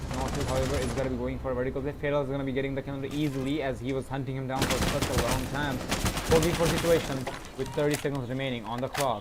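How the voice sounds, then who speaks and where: Very fast, mumbling speech comes through noticeable background noise. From Bangladesh. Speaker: esports caster. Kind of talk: live commentary.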